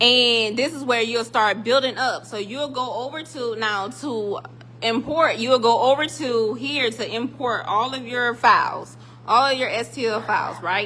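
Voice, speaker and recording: Her voice high in pitch with ordinary pitch variation, a woman speaks in an animated tone at a fairly slow pace over noticeable background noise. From South Carolina, US South. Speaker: 3D printing tutorial maker. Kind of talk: tutorial. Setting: metal building workshop. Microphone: echoey room.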